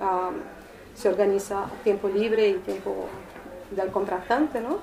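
A woman with a Portuguese accent speaks at a very slow pace over noticeable background noise. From Brazil, São Paulo. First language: Portuguese (speaking Spanish). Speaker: artist. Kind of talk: informal talk to a small group. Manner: hesitant, many fillers.

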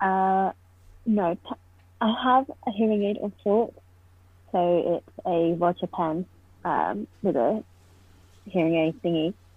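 Speaking very slowly with long, frequent pauses, a woman with a southern English accent uses a medium pitch and ordinary pitch variation. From southern England, Poole/Bournemouth. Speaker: deaf postgraduate student. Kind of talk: casual interview.

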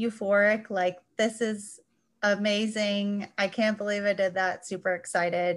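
With an American accent, a woman talks at a moderate pace in a normal speaking voice. Her pitch is fairly high. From US Midwest, Chicago suburbs. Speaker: journal editor. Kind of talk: casual chat. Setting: video call.

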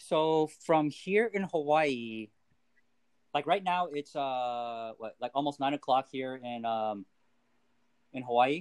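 Speaking at a very slow pace, a man with a fairly high voice pauses long and often. His pitch varies in an ordinary way. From Korea. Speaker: fantasy football league owner, guest. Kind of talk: casual chat. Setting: remote, Hawaii.

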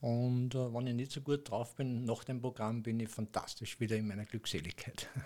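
The tone is dark and mellow, with fairly even intonation. The pace is moderate, with hardly any pauses. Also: man, medium pitch for a man. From Austria, Upper Austria. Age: 60s. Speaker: acupuncture massage therapist. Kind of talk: casual interview.

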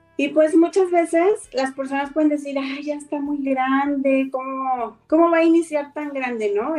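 A woman's high-pitched voice at a fairly slow pace, with hardly any pauses and noticeable background noise. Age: 50s. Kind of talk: interview.

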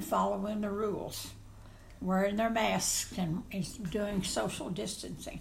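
A woman's medium-pitched voice with vocal fry and fairly even intonation. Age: 80s+. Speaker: grandmother, interviewee. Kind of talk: casual interview.

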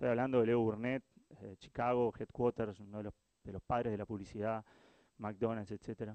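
A man's dark, mellow tone comes through with monotone, flat intonation and big swings in loudness, in a dry, close sound with no echo. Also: medium pitch for a man, moderate pace. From Uruguay. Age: 40s. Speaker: innovation director, agency founder. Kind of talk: talk to live audience. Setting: stage with audience.

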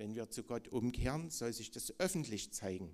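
A man speaks at a moderate pace and a medium pitch. He has a plain, everyday voice. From East Germany. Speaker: preacher. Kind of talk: sermon.

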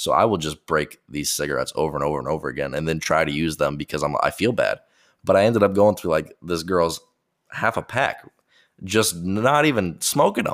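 Very deep, low male speech at a fairly quick pace with lively intonation, in a very clean recording with a silent background. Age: 20s. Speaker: podcast host, air force member. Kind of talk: casual storytelling monologue.

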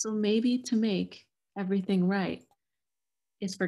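Speaking at a fairly slow pace, a woman uses fairly even intonation in a somewhat breathy voice. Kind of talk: poetry reading.

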